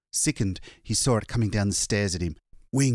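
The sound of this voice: An unforced reading voice with ordinary pitch variation is heard over a quiet background.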